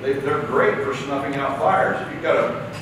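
A man speaks amid noticeable background noise. Strong room echo surrounds his voice. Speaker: trainer presenting to plumbers. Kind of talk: lecture. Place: classroom.

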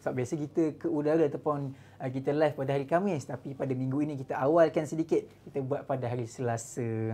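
Speech comes at a very fast pace over light background noise. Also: man. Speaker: religious talk show host. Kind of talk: live talk show opening to viewers. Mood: cheerful, smiling. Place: home room. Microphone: lapel.

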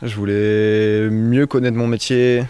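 The voice belongs to a man. He speaks in a flat, monotone way. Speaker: apprentice boat carpenter. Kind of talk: interview. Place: workshop. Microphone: handheld.

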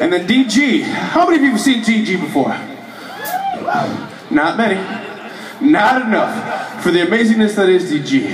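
Very wide pitch swings at a moderate pace, with long, frequent pauses and noticeable background noise. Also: man. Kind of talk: stage banter. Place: bar.

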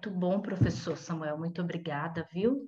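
A woman speaks over light background noise. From Brazil, São Paulo. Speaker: company representative; webinar host or moderator. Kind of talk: casual announcement. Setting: video call. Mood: warm, appreciative. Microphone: earbuds.

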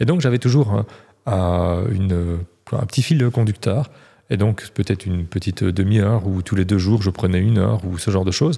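Over a quiet background, a man with a fairly low pitch talks at a fairly quick pace. His dark, mellow tone is somewhat breathy. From Belgium. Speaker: real estate coach, former agency manager; real estate coach. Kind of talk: casual interview. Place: studio. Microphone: studio mic.

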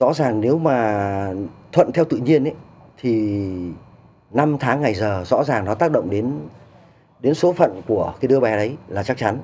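A man speaks with lively intonation and long, frequent pauses. Light background noise is audible. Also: moderate pace. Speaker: human potential researcher. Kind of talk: TV studio interview. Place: studio.

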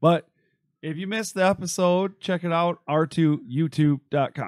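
Speech at a fairly slow pace with ordinary pitch variation comes over a quiet background, with a dry sound and no echo. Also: man. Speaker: podcast host. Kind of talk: casual chat. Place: studio. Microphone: studio mic.

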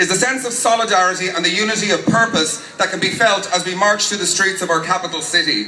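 A man speaks very fast in a raised, projected voice, with audible room echo and light background noise. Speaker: speaker. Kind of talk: political rally speech. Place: street. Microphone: pa.

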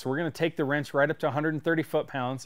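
Against a quiet background, a man speaks at a fairly quick pace with fairly even intonation. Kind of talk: tutorial. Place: workshop. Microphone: lapel.

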